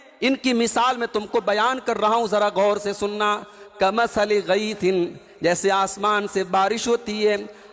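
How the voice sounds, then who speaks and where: A man's high-pitched voice, monotone and flat, at very even loudness, with noticeable background noise. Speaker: Islamic preacher. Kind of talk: Islamic sermon (bayan). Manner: emotional, emphatic, preaching.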